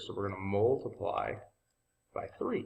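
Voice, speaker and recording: Somewhat breathy, a man talks at a fairly slow pace in a fairly low pitch. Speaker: math teacher. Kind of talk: tutorial. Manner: casual.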